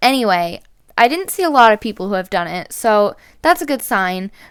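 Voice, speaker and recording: A woman speaks at a moderate pace in a fairly high pitch on a very clean recording with a silent background. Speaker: gaming youtuber. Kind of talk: casual gaming commentary. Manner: loud; rambling conversational.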